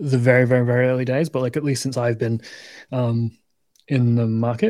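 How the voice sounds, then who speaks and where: A man's dark, mellow voice at medium pitch in a northern English accent. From northern England. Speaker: crypto show co-host. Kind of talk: casual chat. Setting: livestream video call.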